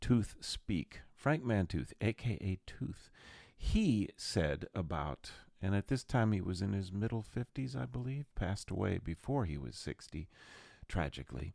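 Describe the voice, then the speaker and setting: A man talks fairly slowly in a fairly low voice with vocal fry and very wide pitch swings, recorded dry and close with no echo on a very clean recording with a silent background. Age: 60s. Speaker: podcast host and jazz musician. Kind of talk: casual solo podcast monologue. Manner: animated.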